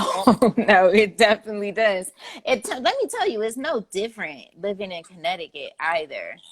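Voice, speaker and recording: This woman has an ordinary speaking voice at a fairly high pitch, with an American accent, lively intonation, a moderate pace and big swings in loudness. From Cleveland, Ohio. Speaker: interview host. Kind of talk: casual interview.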